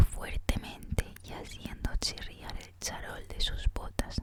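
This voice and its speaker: A woman whispering at a very slow pace, with noticeable background noise. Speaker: ASMR content creator. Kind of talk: audiobook reading, ASMR. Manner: soft, whispered.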